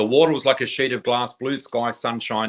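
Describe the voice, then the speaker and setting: At a medium pitch, a man speaks with an Australian accent and fairly even intonation. His pace is fairly quick. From Australia, New South Wales south coast. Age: 60s. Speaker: psychic flower reader. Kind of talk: interview, personal story.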